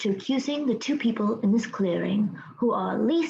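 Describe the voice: Someone reads aloud plainly, the intonation lively throughout.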